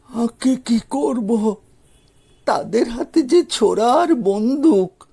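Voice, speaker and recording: Putting on a character voice at an extremely high pitch, a man speaks at a very slow pace with lively intonation in a dry, close sound with no echo. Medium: read story. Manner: timid, hesitant.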